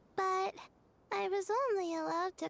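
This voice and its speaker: Using a put-on character voice, a woman delivers squeaky, extremely high-pitched lines at a moderate pace with monotone, flat intonation. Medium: video game. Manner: soft-spoken, hesitant.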